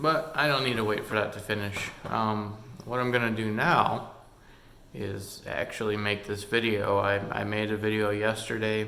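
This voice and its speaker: Mumbling, a man talks at a moderate pace in a fairly low pitch. His intonation stays fairly even. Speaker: hobbyist vlogger. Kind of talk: casual screen-recording vlog. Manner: hesitant with many fillers. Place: home room. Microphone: phone near.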